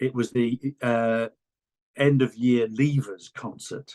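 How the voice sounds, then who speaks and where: In a Welsh accent, a man talks at a medium pitch with ordinary pitch variation, the sound dry and close with no echo. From Wales. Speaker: music fan, former work colleague. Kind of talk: casual chat.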